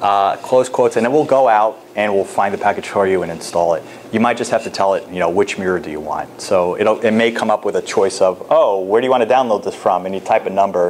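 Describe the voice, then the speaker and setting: Over noticeable background noise, a man with a fairly low pitch races along at a very fast pace with hardly any pauses and ordinary pitch variation. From New York State. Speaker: professor. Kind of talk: lecture. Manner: casual.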